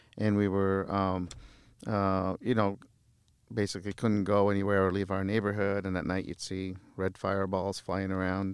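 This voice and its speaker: A man with a Midwestern US accent, fairly low in pitch, monotone and flat at a moderate pace. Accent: US Midwest. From Lebanon, raised in Iowa from childhood. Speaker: mayor and lawyer. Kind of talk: casual interview chat. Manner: halting, with frequent repeated words.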